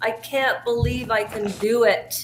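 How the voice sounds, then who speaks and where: Over music in the background, a woman with a fairly high pitch talks at a very slow pace, with audible room echo. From Canada. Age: 50s. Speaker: live streamer. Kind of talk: casual live stream chat. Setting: basement live stream. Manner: loud.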